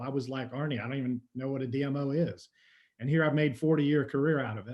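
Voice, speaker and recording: A man speaks at a very fast pace. His pitch is fairly high and his intonation fairly even. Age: 60s. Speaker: tourism marketing executive. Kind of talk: webinar panel discussion. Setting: video call.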